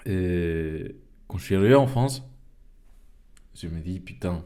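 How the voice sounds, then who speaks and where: A man's very deep, low voice, dark and mellow in tone, at a fairly slow pace with audible room echo. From Venezuela, Caracas. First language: Spanish (speaking French). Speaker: podcast host. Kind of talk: casual monologue. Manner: halting, many fillers and repetitions.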